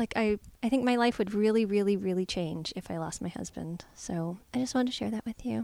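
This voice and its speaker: Fairly high-pitched and dark, mellow in tone, a woman speaks at a fairly quick pace with ordinary pitch variation in a dry, close recording with no echo. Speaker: podcast co-host and comedy performer. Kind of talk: casual chat.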